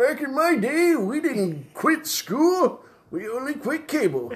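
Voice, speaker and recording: A man in a put-on character voice, extremely high in pitch, at a fairly slow pace. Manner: grumbling, jokey.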